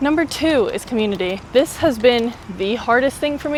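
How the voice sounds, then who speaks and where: Lively intonation marks this woman's speech in an American accent, with noticeable background noise behind her. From US, Miami. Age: 20s. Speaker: travel vlogger. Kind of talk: casual vlog monologue. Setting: outdoors, riding a bike in a park. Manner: casual, lots of fillers.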